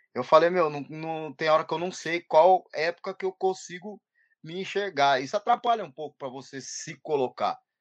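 At a moderate pace, a man with a high pitch and ordinary pitch variation speaks with big swings in loudness. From Brazil, São Carlos (São Paulo interior). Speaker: rapper and music producer. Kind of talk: casual interview chat.

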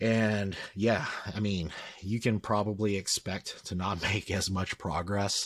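Quiet and monotone, a man speaks at a very slow pace with flat intonation. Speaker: strength coach. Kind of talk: casual chat.

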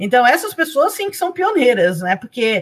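A woman's voice with very wide pitch swings, on a very clean recording against a silent background. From Brazil. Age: 50s. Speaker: blogger and professor. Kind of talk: interview.

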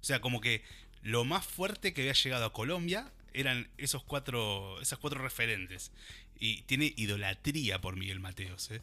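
A man with a Rioplatense accent speaks at a moderate pace and medium pitch with a bright, sharp tone and lively intonation on a very clean recording with a silent background. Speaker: radio host. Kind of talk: casual chat.

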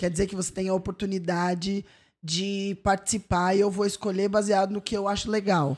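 Against a silent background in a very clean recording, a woman speaks at a moderate pace in a medium pitch with monotone, flat intonation. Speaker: comedian and judge. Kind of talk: casual chat.

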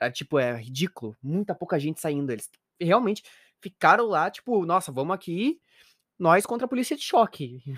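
In a southern Brazilian accent, a man speaks at a fairly quick pace with a high pitch and very wide pitch swings, in a very clean recording with a silent background and a dry, close sound with no echo. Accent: gaucho Brazilian Portuguese. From Rio Grande do Sul, Brazil. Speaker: podcast co-host. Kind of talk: casual chat.

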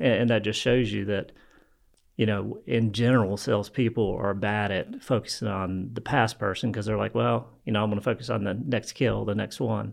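A man speaks with vocal fry at a fairly low pitch and a moderate pace. His intonation is fairly even, and the background is quiet. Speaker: real estate and business mentor. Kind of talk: casual interview chat.

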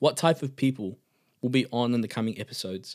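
On a very clean recording with a silent background, a man in a New Zealand accent talks at a fairly quick pace with medium pitch and ordinary pitch variation. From New Zealand, Auckland. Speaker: podcast host. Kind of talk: faith devotional talk.

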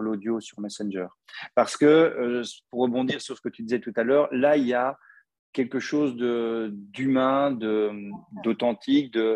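A man with a slight Belgian accent, medium pitch, ordinary pitch variation and a very slow pace. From Belgium. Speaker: podcast host. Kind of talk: casual interview.

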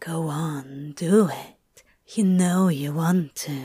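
A put-on character voice at a middle pitch and a very slow pace. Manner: urgent whisper.

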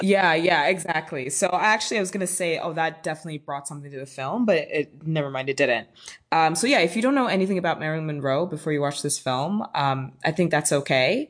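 A woman with an American accent talks at a very fast pace with hardly any pauses, her very deep, low pitch showing ordinary variation. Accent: switches between British and American accents. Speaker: podcast host. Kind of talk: casual chat. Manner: animated, excitable.

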